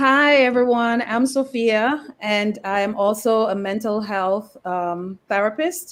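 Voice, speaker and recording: This woman talks at a fairly slow pace in a Jamaican accent. Her pitch sits fairly high. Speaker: mental health therapist. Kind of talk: casual chat.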